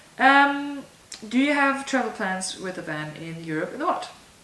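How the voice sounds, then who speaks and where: In a German accent, the speaker goes at a fairly slow pace with very wide pitch swings. There is audible room echo and noticeable background noise. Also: woman. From southern Germany. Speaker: vlogger. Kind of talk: casual Q&A vlog. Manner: casual, with fillers.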